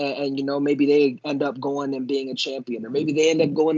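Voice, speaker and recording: With an American accent, a man speaks at a fairly quick pace in an unremarkable speaking voice with a fairly high pitch for a man. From Miami, South Florida. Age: 20s. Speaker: jiu-jitsu competitor and instructor. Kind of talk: casual chat.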